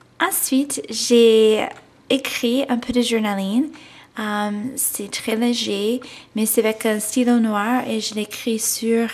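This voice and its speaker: With an American accent, a woman speaks at a fairly high pitch and very slow pace, leaving long, frequent pauses. Her intonation stays fairly even over noticeable background noise. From United States. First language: English (speaking French). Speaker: scrapbooking instructor. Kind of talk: craft tutorial. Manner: hesitant, many fillers (euh) and restarts.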